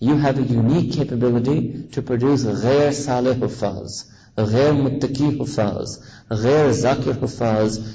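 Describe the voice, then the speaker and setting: Somewhat breathy, the voice carries an American accent and fairly even intonation. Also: man. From US, New York City. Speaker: Islamic preacher. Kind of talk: sermon. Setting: mosque gathering with audience, on a visit to South Africa.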